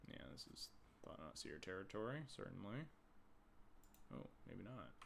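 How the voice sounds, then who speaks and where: Soft-spoken with vocal fry, a man uses a fairly low voice with very wide pitch swings amid audible room echo. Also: moderate pace. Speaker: game streamer. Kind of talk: live gameplay commentary. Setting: live stream. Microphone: quiet volume on YouTube upload.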